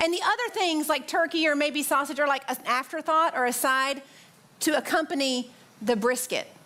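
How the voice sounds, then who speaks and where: In a Southern accent, a woman speaks at a high pitch with an animated tone. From US South, Tennessee (near Nashville). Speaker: pastor. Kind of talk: sermon.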